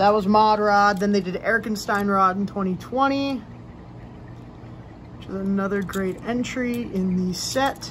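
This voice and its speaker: A woman at a medium pitch speaks at a fairly slow pace with fairly even intonation, big swings in loudness and long, frequent pauses, over noticeable background noise. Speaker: toy car collector youtuber. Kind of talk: casual product review.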